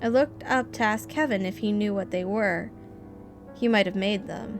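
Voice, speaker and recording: Music in the background behind a woman of medium pitch, talking at a moderate pace with ordinary pitch variation. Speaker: amateur horror story reader. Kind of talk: creepypasta horror story reading.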